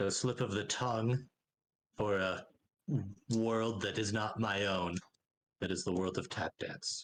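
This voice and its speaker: A man's put-on character voice, fairly low and fairly slow, with fairly even intonation, very even loudness, and long, frequent pauses. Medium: actual play. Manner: stiff, formal.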